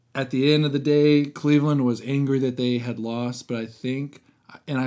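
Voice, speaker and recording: A man with a plain, everyday voice speaks at a moderate pace, his pitch medium and his intonation fairly even. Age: 20s. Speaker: sports podcast co-host. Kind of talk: casual chat.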